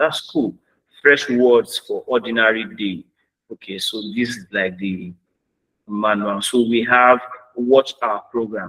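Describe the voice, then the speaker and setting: A man at a very slow pace, with long, frequent pauses, a bright, sharp tone and big swings in loudness. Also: medium pitch for a man, ordinary pitch variation, dry, close sound with no echo. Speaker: AI trainer. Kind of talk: tutorial.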